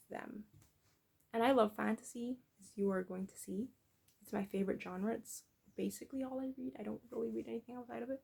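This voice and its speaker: A woman speaks at a medium pitch, somewhat breathy, with ordinary pitch variation, big swings in loudness and long, frequent pauses. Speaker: book vlogger. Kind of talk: casual chat. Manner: halting.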